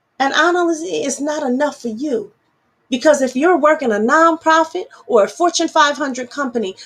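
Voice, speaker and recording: This woman has an animated tone and very wide pitch swings. Her pace is moderate. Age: adult. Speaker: activist radio host. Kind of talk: political talk show monologue. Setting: virtual broadcast. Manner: impassioned, animated.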